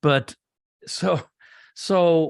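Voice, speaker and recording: With an American accent and lively intonation, a man talks over a silent background in a very clean recording. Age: 60s. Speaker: pastor. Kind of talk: interview.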